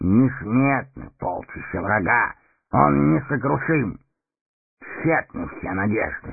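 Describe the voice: A man puts on a character voice with vocal fry and a slightly husky edge, speaking slowly with lively intonation. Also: fairly low pitch for a man.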